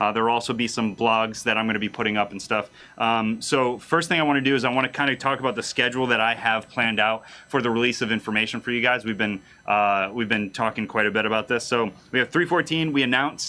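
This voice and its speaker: A man of medium pitch speaks at a very fast pace. His pitch variation is ordinary. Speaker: game community manager. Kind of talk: livestream announcement. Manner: casual, many fillers.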